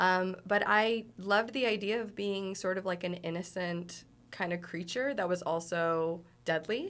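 In an unremarkable speaking voice, a woman talks at a medium pitch and a fairly slow pace with ordinary pitch variation. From Toronto, Canada. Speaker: professional wrestler. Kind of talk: casual interview chat.

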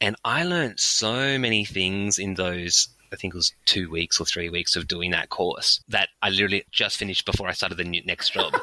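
A man with an Australian accent speaks in a fairly low pitch, his tone bright and sharp, with ordinary pitch variation. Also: moderate pace, dry, close sound with no echo. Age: 30s. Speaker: in-house lawyer and public speaking coach. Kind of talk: interview.

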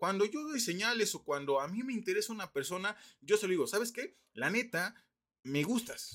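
In a very clean recording with a silent background, a man with a Mexican accent talks at a moderate pace in a high pitch with lively intonation. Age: 20s. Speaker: podcast host. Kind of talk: casual monologue. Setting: at home.

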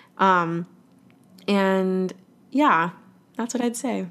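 A woman with a Californian accent at medium pitch, speaking at a very slow pace with ordinary pitch variation. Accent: General American, California. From US West Coast, Los Angeles. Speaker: musical theater actor. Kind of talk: interview conversation. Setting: video call.

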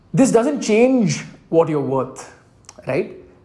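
There is audible echo in the room. A man talks at a moderate pace. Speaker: podcast host. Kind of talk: solo monologue podcast. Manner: halting, with fillers and self-corrections.

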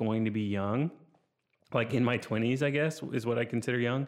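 A man with a plain, everyday voice talks at a fairly quick pace, using a medium pitch and fairly even intonation. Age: 30s. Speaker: podcast host, photographer. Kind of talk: solo casual monologue. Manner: casual, filler-heavy.

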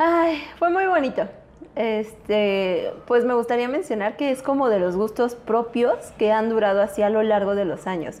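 In a plain, everyday voice, a woman speaks at a fairly slow pace with a fairly high pitch and lively intonation. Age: 20s. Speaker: chemical engineer. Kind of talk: casual chat.

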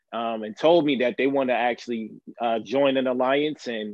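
A man with a plain, everyday voice speaks at a moderate pace, with a medium pitch and ordinary pitch variation. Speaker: Amazon worker activist. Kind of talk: live stream interview. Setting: live stream, audio only.

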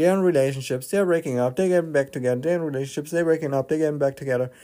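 A man speaks with a dark, mellow tone and a non-native accent. His pitch sits fairly high, with ordinary variation. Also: very clean recording, silent background. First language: not English. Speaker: spirituality podcaster. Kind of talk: casual monologue.

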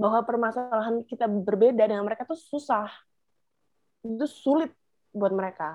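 A woman talks at a moderate pace and a fairly high pitch, with ordinary pitch variation. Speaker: podcast co-host. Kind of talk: casual chat. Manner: animated.

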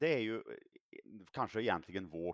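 The man's voice sits at a fairly low pitch and swings very widely in pitch. The sound is dry and close, with no echo. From Sweden, Värmland. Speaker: politician. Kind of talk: political interview.

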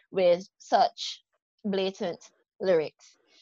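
In a Barbadian accent, a woman speaks with lively intonation, the sound dry and close with no echo. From Barbados. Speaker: podcast host and life coach. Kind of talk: interview conversation.

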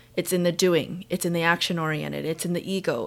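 A woman has an unremarkable speaking voice, fairly low in pitch, with fairly even intonation. The recording is very clean with a silent background. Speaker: podcast host. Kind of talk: casual interview chat.

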